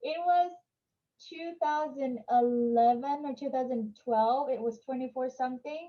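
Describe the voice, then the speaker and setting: A woman with a high pitch and ordinary pitch variation. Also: fairly slow pace. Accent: Vietnamese. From Vietnam. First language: Vietnamese. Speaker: entrepreneur. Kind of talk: interview.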